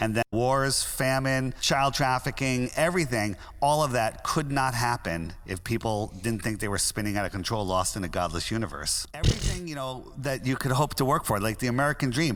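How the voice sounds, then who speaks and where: A man talks in a plain, everyday voice at a medium pitch with ordinary pitch variation. He moves at a fairly quick pace with hardly any pauses. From US Northeast, Connecticut. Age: 60s. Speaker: conspiracy theorist app founder. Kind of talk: interview.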